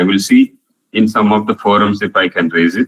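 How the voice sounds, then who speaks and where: A man with a Marathi accent at a very fast pace. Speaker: professor. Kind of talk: online lecture with Q&A. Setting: online video call.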